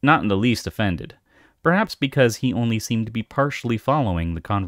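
Reading aloud in a natural voice with lively intonation, the speaker is heard over a quiet background.

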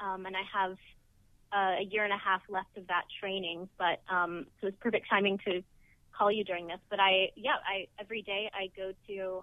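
A woman speaks at a moderate pace in a flat monotone. The sound is dry with no echo, over a quiet background. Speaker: actor being interviewed. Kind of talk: interview answer. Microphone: phone line.

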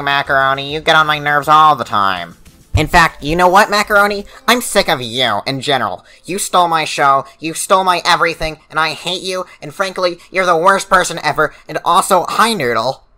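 A man with a fairly high pitch, lively intonation and a fairly quick pace. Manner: exasperated, sarcastic.

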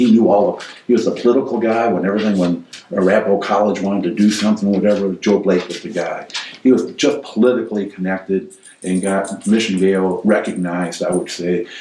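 There is light background noise and audible room echo as a man with a fairly low pitch talks at a fairly quick pace. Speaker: former development company manager; interviewee. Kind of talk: oral history interview answer. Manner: conversational, hesitant. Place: home room.

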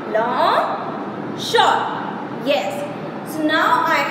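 A woman's voice with ordinary pitch variation, audible room echo and noticeable background noise. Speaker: teacher. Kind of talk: lesson for young children. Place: home room. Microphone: phone near.

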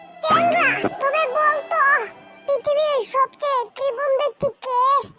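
A cartoonish character voice, squeaky and extremely high-pitched, speaks at a moderate pace. Faint music plays in the background. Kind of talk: comic cartoon banter. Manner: teasing, playful.

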